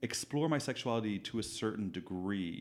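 A man with a Dublin accent talks at a moderate pace in a medium-pitched voice. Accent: Dublin Irish. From Dublin, Ireland. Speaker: hairstylist. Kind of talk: casual interview chat. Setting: echoey room.

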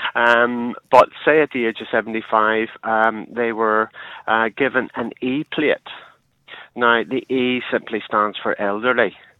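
With a Northern Irish accent, a man at medium pitch speaks very slowly in a flat monotone. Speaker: caller. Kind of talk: phone-in call. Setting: phone call. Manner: halting, many fillers.

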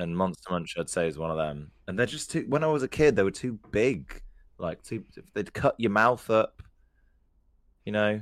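A man with an English accent, fairly low pitch and very wide pitch swings, at a moderate pace with big swings in loudness. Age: 20s. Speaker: podcast co-host. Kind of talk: casual chat.

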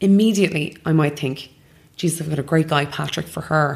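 Speaking at a fairly quick pace, a woman uses a very deep, low pitch with ordinary variation. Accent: Irish. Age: 30s. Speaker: matchmaker. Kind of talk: interview. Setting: matchmaking office.

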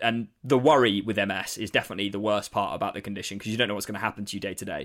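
A man with a southern English accent speaks very fast in a fairly low voice, his intonation fairly even but his loudness swinging widely. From eastern England, Saffron Walden near Cambridge. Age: 20s. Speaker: comedian. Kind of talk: casual interview. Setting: video call.

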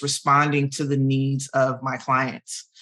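A woman speaks with a very deep, low pitch. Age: 40s. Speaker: hairstylist and hair care founder. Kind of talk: interview. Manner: halting.

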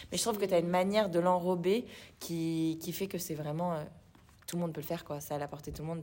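Fairly quick delivery with fairly even intonation. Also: woman. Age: 20s. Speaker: fitness studio co-founder. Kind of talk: casual interview.

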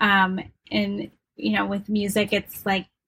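At a moderate pace, a woman with a plain, everyday voice speaks at a medium pitch. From Wisconsin. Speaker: harpist, yoga instructor and doula. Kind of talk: casual interview.

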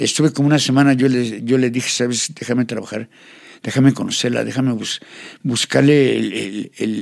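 At a moderate pace, a man with a medium pitch talks in an ordinary speaking voice with fairly even intonation. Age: 60s. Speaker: tattoo artist. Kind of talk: life story interview.

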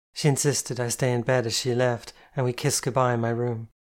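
The clip carries a natural reading voice.

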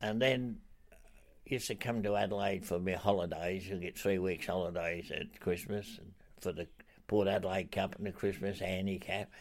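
Speaking with a strong Australian accent, a man uses a fairly low pitch, fairly even intonation and a moderate pace in a very clean recording with a silent background. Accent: broad Australian. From Australia, Broken Hill. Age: 80s+. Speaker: retired racehorse trainer. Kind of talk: interview. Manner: halting.

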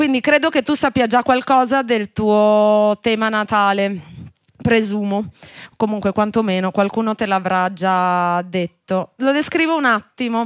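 A woman in an ordinary speaking voice, fairly high in pitch with ordinary pitch variation, at a fairly slow pace, with a dry, close sound and no echo. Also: very even loudness. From Genoa, Italy. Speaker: podcast host, astrologer. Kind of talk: live podcast interview. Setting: live show in a wine bar with audience.

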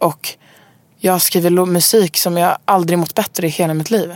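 A woman speaks at a moderate pace and a fairly low pitch, her intonation monotone and flat. The sound is dry and close with no echo. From Stockholm, Sweden. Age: 20s. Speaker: singer-songwriter. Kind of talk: casual interview. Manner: halting, many fillers.

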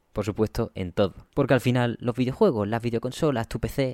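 Here is a man with a plain, everyday voice, medium in pitch, speaking at a fairly quick pace with fairly even intonation. The recording is very clean with a silent background and a dry, close sound with no echo. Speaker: video game podcast host. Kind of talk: solo podcast commentary. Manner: fast.

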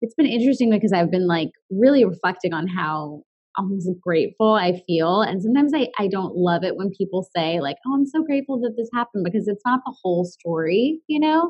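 This woman has a medium-pitched, somewhat breathy voice. Her pitch swings very widely. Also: fairly quick pace. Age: 30s. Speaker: wellness talk show host and chronic illness advocate. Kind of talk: interview conversation.

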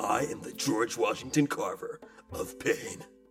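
Faint music plays in the background. A man talks over it at a fairly slow pace. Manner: exasperated, theatrical.

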